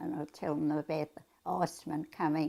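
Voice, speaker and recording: At a moderate pace, a woman speaks in a very deep, low voice. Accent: Australian. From Australia. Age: 80s+. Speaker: centenarian interviewee. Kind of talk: interview reminiscence.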